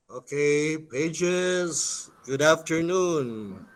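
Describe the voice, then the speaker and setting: A man talks over noticeable background noise. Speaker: priest and school executive vice president. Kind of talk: storytelling narration to students.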